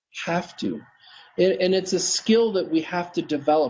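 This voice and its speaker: The man's tone is energetic and intense. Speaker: dental practice coach. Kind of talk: interview on live video broadcast. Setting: live video stream. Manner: fast; energetic, intense.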